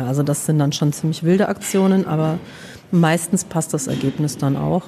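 A woman with a very deep, low pitch talks at a fairly quick pace. Noticeable background noise can be heard. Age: 40s. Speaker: social worker. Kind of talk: casual interview. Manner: hesitant, many fillers.

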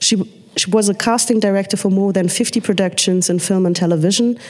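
Over noticeable background noise, a woman speaks fairly quickly at a medium pitch with fairly even intonation. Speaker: panel moderator. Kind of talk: panel discussion. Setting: stage with audience.

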